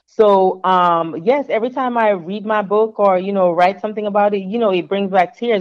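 A woman with an American accent speaks in a normal speaking voice at a moderate pace. Her pitch is medium and her intonation fairly even. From Jamaica, then the Bronx, New York from age 13. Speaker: author, navy veteran and corporate recruiter. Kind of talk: interview.

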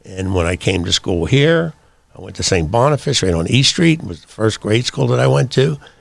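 In a Pittsburgh accent, a man speaks at a very deep, low pitch with very wide pitch swings. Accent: Pittsburgh American English. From Pittsburgh, US. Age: 70s. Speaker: veteran and business founder. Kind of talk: casual interview. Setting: studio.

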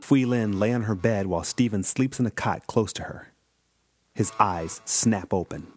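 Over music in the background, a man talks at a moderate pace in a fairly low pitch, with an animated tone and ordinary pitch variation. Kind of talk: fantasy audio drama narration. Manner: animated, tense action narration.

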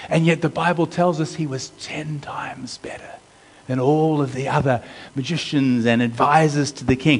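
This is an ordinary speaking voice: a man with an American accent and a fairly high pitch. He talks at a moderate pace. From US. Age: 50s. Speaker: pastor. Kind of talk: sermon.

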